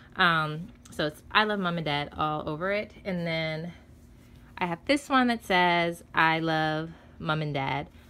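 The voice moves at a very slow pace, bright and sharp in tone, with ordinary pitch variation. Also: woman, fairly low pitch for a woman. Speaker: expectant mother vlogger. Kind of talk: casual vlog, product haul. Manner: excited, chatty. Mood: excited. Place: home room. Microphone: phone near.

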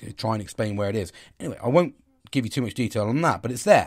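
Recorded very cleanly with a silent background, a man talks at a medium pitch. His voice is somewhat breathy, with ordinary pitch variation. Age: 40s. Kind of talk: casual monologue. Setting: at home.

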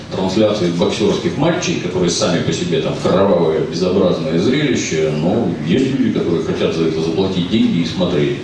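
Through strong room echo and noticeable background noise, a man with a very deep, low voice speaks at a moderate pace. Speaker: film translator and commentator, member of a public council at the ministry of culture. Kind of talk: casual talk answering an audience question. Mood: sardonic, ironic. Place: hall.

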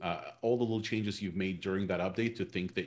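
A man talks at a very fast pace in a very deep, low pitch, keeping his intonation fairly even. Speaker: SEO specialist; SEO expert host. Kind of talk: webinar discussion. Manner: halting, many fillers. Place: home room. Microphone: video call.

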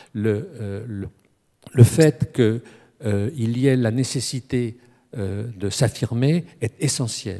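Over a quiet background, a man with a dark, mellow tone speaks at a very slow pace, with long, frequent pauses, big swings in loudness and ordinary pitch variation. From France, Strasbourg (Alsace); France. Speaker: academic speaker on boxing; speaker. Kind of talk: panel discussion. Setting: stage with audience. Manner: halting. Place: hall. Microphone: handheld.

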